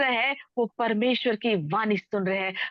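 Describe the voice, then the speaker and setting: A woman is speaking. She has a Telangana accent. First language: Telugu (speaking Hindi). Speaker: preacher. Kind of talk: sermon. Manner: code-switching Hindi and English.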